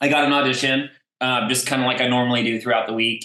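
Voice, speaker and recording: With a slight Texas accent, a man talks at a fairly quick pace. His voice is bright and sharp in tone, with medium pitch. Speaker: voice actor. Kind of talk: casual interview.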